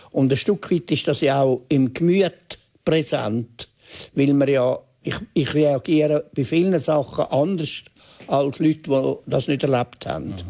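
In a Swiss accent, a man with a dark, mellow tone and a fairly high voice speaks at a fairly slow pace with ordinary pitch variation over a quiet background. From Switzerland. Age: 80s+. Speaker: journalist and author. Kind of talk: TV interview answer. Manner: hesitant, reflective. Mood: reflective, calm, hesitant. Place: studio. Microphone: lapel.

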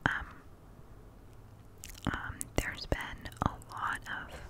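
A soft-spoken woman, whispering. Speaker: ASMR creator. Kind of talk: soft casual chat. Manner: soft close whisper, rambling. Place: home room. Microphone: studio mic.

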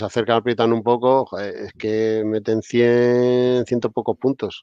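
A man speaks at a moderate pace in a flat monotone over a quiet background. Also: dry sound with no echo. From Spain. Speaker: basketball podcast host. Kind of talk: casual chat. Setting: live stream with chat. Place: home room. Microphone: video call.

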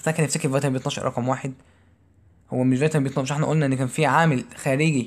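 A man with an Egyptian accent at a very fast pace, fairly high in pitch, monotone and flat, with very even loudness. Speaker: physiology tutor. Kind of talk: exam review lecture.

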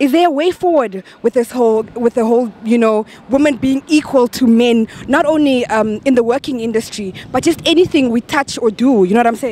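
Delivered at a fairly quick pace with hardly any pauses, the animated voice has a dry sound with no echo. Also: woman, high pitch for a woman, ordinary pitch variation. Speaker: street interviewer, show host. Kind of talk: vox pop street interviews. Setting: outdoors. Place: street. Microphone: handheld.

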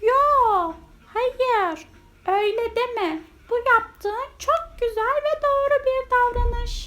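Using a put-on character voice, a woman speaks very slowly in an extremely high, squeaky pitch. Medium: read story. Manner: warm, lively.

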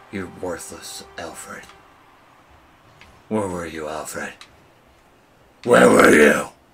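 A man in a put-on character voice talks very slowly at a very deep, low pitch, raspy and broken by long, frequent pauses. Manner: accusing, angry.

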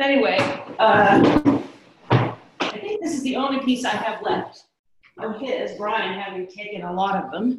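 Against loud background noise and audible room echo, a woman talks at a fairly slow pace, pausing long and often. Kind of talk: casual group video call. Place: home room.

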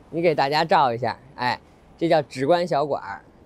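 Dry with no echo, the recording has a man speaking at a fairly quick pace. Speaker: food vlogger. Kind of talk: casual vlog chat. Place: street. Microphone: lapel.

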